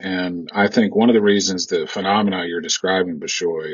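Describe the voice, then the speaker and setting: A man with an American accent delivers his words at a moderate pace. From US, military bases. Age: 50s. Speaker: lawyer. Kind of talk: podcast interview.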